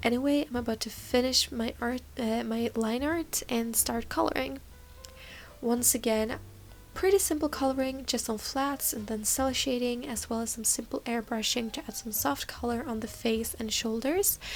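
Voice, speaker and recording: With music in the background, a woman speaks at a high pitch and a moderate pace, using ordinary pitch variation. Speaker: digital artist. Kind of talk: casual voice-over for art video.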